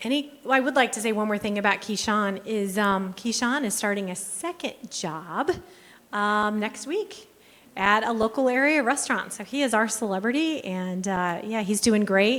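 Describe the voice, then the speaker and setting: Here is a woman with an unremarkable speaking voice and a fairly high pitch. She keeps a moderate pace and ordinary pitch variation. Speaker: workforce program presenter. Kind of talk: conference presentation.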